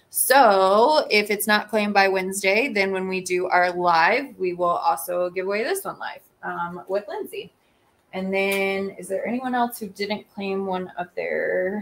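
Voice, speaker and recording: At a fairly slow pace, a woman with an American accent uses an ordinary speaking voice at a medium pitch with ordinary pitch variation. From US South, Georgia. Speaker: small business owner and livestream host. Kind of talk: casual livestream chat. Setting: live video stream.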